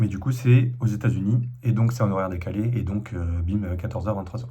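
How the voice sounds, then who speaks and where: A somewhat breathy voice with a dark, mellow tone speaks at a moderate pace with ordinary pitch variation. An audible room echo surrounds it. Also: man. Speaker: vlogger. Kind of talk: casual vlog monologue. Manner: hesitant, many fillers.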